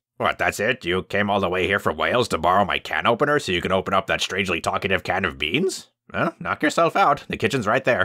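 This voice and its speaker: Using a put-on character voice, a man talks at a very fast pace with hardly any pauses, lively intonation and a fairly low pitch, in a dry, close sound with no echo. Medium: voice reel. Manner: rambling, theatrical.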